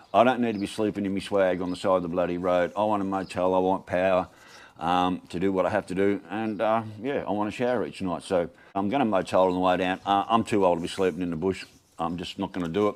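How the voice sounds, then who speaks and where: A man with an Australian accent speaks very fast in a very deep, low voice, his intonation fairly even. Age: 60s. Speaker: video blogger. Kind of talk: casual vlog monologue.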